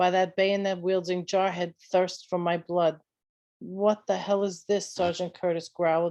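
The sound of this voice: An unforced reading voice set against a quiet background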